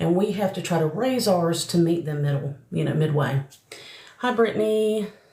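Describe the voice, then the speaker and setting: With a Southern US accent, a woman speaks in a fairly low pitch with lively intonation. Her moderate pace comes through noticeable background noise. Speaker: psychic medium. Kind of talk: live stream chat and mediumship readings. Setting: live stream. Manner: casual, chatty.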